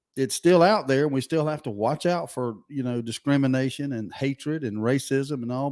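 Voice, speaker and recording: This man has a Southern US accent. His pitch is fairly high, with ordinary pitch variation. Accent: Southern US (Georgia). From US South, Georgia (Valdosta). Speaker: radio talk show host. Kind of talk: call-in talk radio. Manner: casual, animated.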